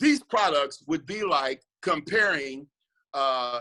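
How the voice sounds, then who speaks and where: A man's bright, sharp, animated voice with lively intonation at a fairly slow pace. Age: 60s. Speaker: network marketing distributor. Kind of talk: testimony. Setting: video call.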